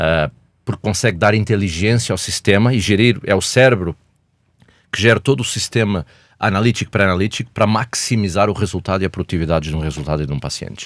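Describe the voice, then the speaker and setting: Talking at a very fast pace with ordinary pitch variation, a man speaks in a European Portuguese accent. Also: fairly low pitch for a man, dry, close sound with no echo, very clean recording, silent background. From Portugal. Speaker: healthcare company executive. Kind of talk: podcast interview. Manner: hesitant, with fillers.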